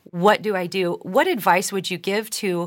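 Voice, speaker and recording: This very clean recording with a silent background carries an unremarkable speaking voice at a moderate pace with ordinary pitch variation. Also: woman. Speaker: podcast host. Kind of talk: casual interview.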